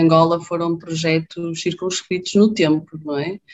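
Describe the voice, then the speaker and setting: A woman speaks in an unremarkable speaking voice, fairly low in pitch. Her intonation is fairly even. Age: 30s. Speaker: infectious disease doctor. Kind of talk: casual interview.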